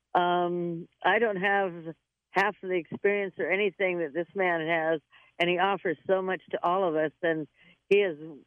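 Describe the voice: A woman speaks at a fairly low pitch and a fairly slow pace, her intonation fairly even. The sound is dry and close, with no echo.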